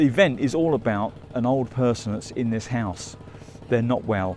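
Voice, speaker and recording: Dry, echo-free male speech with light noise behind it. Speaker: travel vlogger. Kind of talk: casual vlog chat. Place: street. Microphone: phone near.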